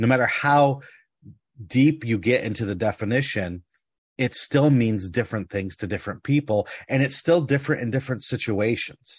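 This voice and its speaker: A somewhat breathy man talks at medium pitch and a moderate pace. His pitch varies in an ordinary way, and the background is quiet. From United States. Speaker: tabletop game podcast host. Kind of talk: casual chat.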